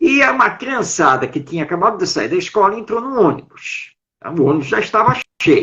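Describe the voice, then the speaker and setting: At a moderate pace, a man speaks with high pitch and very wide pitch swings. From Brazil, São Paulo city. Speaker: writer, educator and Spiritist speaker. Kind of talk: interview on a live stream talk. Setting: online live stream.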